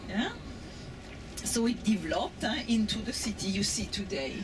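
Against clear background noise, a woman speaks at a moderate pace and medium pitch with lively intonation.

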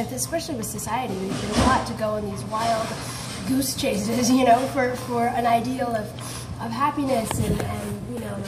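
Loud background noise behind a moderate pace. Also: woman. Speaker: conversation partner. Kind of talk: casual conversation. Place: cafe. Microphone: phone near.

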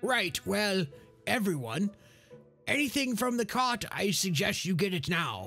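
With faint music in the background, a man uses a raised, projected voice at a moderate pace. His pitch is high and his intonation lively. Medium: actual play. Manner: curt, commanding, wry.

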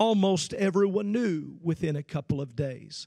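A man with an American accent speaks at a high pitch in an animated tone. His pace is fairly slow, and the background is quiet. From central Illinois. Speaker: preacher. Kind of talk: sermon. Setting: livestreamed youth camp service. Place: stage. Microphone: handheld.

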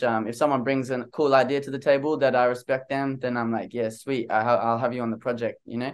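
A very fast-talking man with an Australian accent, medium pitch and fairly even intonation. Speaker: singer-songwriter; interviewee. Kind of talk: interview. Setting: video call. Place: home room. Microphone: studio mic.

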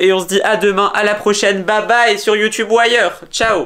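A man with a high-pitched voice. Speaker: family vlogger. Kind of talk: casual vlog chat.

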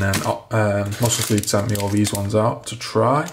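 Fairly even intonation in a northern English accent, over noticeable background noise. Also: man. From northern England. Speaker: fitness and fashion vlogger; fashion vlogger. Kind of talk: casual vlog. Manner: casual, chatty. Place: home room. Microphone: phone near.

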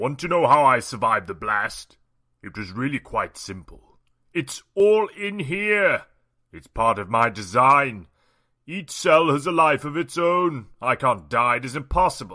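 A man uses a cartoonish character voice at medium pitch. It has very wide pitch swings and big swings in loudness. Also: moderate pace. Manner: smug, menacing.

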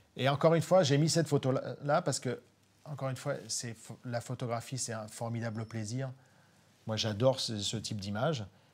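Somewhat breathy, a man speaks with long, frequent pauses and big swings in loudness. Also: medium pitch for a man, ordinary pitch variation, fairly quick pace. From Normandy, Cotentin; Normandy. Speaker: nature photographer; guest. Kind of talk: live online talk. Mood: enthusiastic, animated storytelling. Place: studio. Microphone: lapel.

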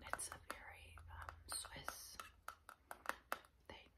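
A woman whispers. Her pace is very slow. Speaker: ASMR creator. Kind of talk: ASMR eating ramble. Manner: whispered. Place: home room.

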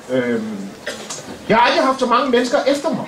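A man speaks at an extremely high pitch. Noticeable background noise is present. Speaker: comedian. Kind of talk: stand-up comedy roast. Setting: stage with audience. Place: stage. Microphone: camera far.

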